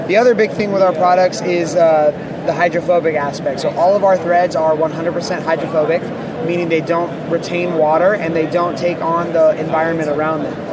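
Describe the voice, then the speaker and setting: Over noticeable background noise, a man speaks at a moderate pace in a high, monotone voice with flat intonation and hardly any pauses. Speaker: company representative. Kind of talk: sales pitch.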